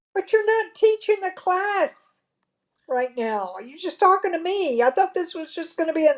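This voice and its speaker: A woman with an American accent speaks at a moderate pace in an extremely high pitch, her voice swinging very widely in pitch and making big jumps in loudness. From Texas. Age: 70s. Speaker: interviewee, mother of the host. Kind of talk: casual family interview.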